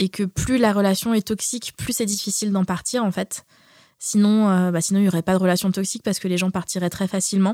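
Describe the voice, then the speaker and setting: On a very clean recording with a silent background, a woman at medium pitch speaks at a fairly quick pace in a dark, mellow tone, the sound dry and close with no echo. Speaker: podcast co-host. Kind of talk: casual chat. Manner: animated.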